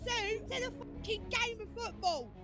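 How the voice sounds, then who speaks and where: Heard with audible room echo, a woman with an English accent speaks at an extremely high pitch, a moderate pace and with lively intonation. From England. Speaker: protester. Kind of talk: street interview. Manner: loud; animated.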